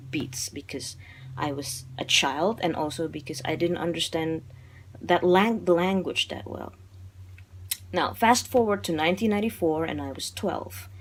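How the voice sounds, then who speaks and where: With an Indonesian accent, a woman speaks at a moderate pace in a very deep, low pitch with vocal fry, lively intonation and big swings in loudness. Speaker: film reviewer. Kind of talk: casual video monologue. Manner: animated; halting.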